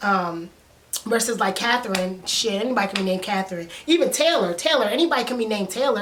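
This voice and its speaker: A woman speaks at a very fast pace. The recording has audible room echo and noticeable background noise. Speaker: TV show reviewer / YouTuber. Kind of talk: casual commentary vlog. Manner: animated.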